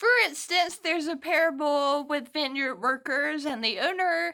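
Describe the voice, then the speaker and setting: Projecting her voice loudly, a woman sounds bright and sharp. Her intonation is lively. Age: 20s. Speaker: lay servant. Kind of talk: casual talk to camera.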